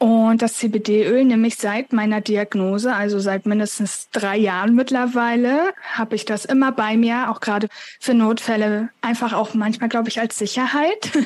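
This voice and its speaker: At a moderate pace, a woman with a fairly high pitch uses an ordinary speaking voice. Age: 20s. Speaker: author with chronic illness. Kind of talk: interview.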